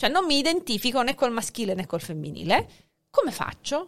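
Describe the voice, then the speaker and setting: This woman speaks with a high pitch. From born in Hungary, dual nationality, lives in Italy. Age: 40s. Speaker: sociolinguist and teacher. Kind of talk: casual chat.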